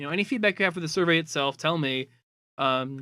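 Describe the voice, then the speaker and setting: Mumbling from a man at a very fast pace, fairly high in pitch, with ordinary pitch variation. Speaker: online community moderator. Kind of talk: casual data presentation. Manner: hesitant, many fillers.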